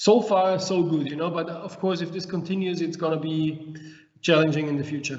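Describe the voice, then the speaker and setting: In a room with audible echo and noticeable background noise, a man talks at a fairly quick pace in a high pitch with monotone, flat intonation. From Austria, Traisental. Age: 50s. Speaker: winemaker. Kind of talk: interview.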